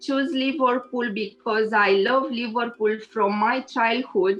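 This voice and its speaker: A woman with a Romanian accent and a fairly high pitch, fairly even intonation, very even loudness, hardly any pauses, and music in the background. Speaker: engineer and lecturer. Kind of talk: interview. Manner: halting, many fillers.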